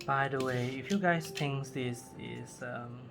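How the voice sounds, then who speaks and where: A Cantonese accent with music in the background. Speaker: crafting youtuber. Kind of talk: tutorial. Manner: halting.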